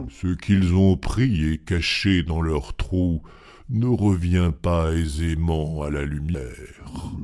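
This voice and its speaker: A very slow, very deep and low-pitched put-on character voice from a man. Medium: read story. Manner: calm, earnest.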